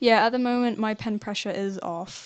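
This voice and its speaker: A woman mumbles at a fairly quick pace with fairly even intonation. Noticeable background noise runs behind her. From southern England. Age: 20s. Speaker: animator and art student. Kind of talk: live stream Q&A. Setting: live stream while drawing. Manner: mumbling; casual, halting.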